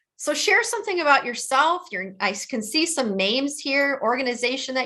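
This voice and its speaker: A woman talks at a moderate speed. Her voice has a bright, sharp tone. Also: quiet background. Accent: Midwestern. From US Midwest, Detroit. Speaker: trauma educator and author. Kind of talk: webinar presentation. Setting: online webinar.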